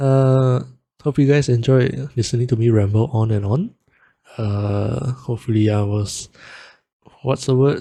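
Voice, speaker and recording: Somewhat breathy and dark, mellow in tone, a man speaks at a fairly slow pace with long, frequent pauses. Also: medium pitch for a man, fairly even intonation. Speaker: music producer and vtuber. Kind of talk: tutorial.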